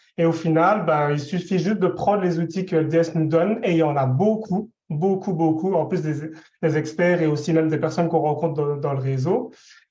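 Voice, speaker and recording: Audible room echo around a man's high-pitched voice with a dark, mellow tone at a moderate pace. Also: fairly even intonation, very even loudness. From Belgium. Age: 20s. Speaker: specialized educator giving testimony. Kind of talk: testimony. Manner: hesitant, many fillers.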